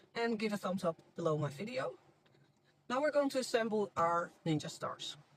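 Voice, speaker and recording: A non-native accent at a moderate pace. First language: not English. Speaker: crafts channel host. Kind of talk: tutorial.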